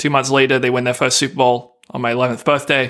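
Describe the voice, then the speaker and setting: Moderate pace and fairly high pitch from a man. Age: 20s. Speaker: podcast co-host, running website staffer. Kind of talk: casual chat.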